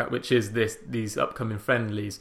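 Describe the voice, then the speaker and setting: A man with a Welsh accent talks fairly quickly in a somewhat breathy voice, captured in a very clean recording with a silent background. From Wales. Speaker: football podcast host. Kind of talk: casual chat.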